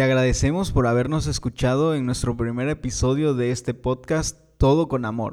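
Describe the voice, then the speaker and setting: Heard in a very clean recording with a silent background, a man with an unremarkable speaking voice talks at medium pitch and a moderate pace with ordinary pitch variation. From Mexico, Tabasco. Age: 30s. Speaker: podcast co-host, youth organization leader.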